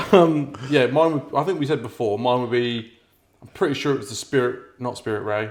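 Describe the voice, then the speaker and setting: In a Norfolk accent, a man talks at a fairly quick pace with a medium pitch and ordinary pitch variation. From Norfolk, England. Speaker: podcast co-host. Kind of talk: casual chat.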